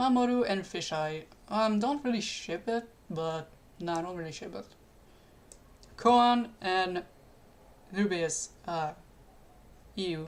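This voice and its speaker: Speaking with a non-native accent, a woman at a medium pitch uses lively intonation at a very slow pace full of long, frequent pauses. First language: not English. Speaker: streamer. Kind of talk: live stream chat. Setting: live stream. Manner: halting.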